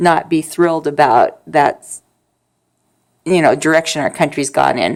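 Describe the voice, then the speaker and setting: With an American accent, a woman speaks at a very deep, low pitch and a moderate pace, with ordinary pitch variation, on a very clean recording with a silent background. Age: 50s. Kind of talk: casual talk to camera. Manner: soft-spoken.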